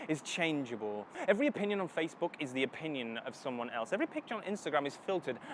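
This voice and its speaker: A fairly high-pitched man at a very fast pace, with very wide pitch swings. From Northern England. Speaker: spoken word poet. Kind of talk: spoken word poetry performance. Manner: dramatic.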